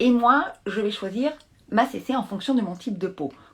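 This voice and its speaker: Moderate-paced female speech, very clean recording, silent background. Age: 50s. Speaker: beauty brand expert. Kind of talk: live product demonstration. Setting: live stream from home.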